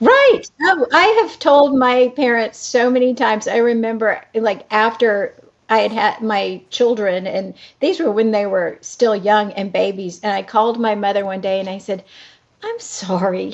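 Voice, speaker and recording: A woman's normal speaking voice, fairly high in pitch, at a fairly slow pace with ordinary pitch variation. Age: 60s. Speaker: actress. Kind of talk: casual chat.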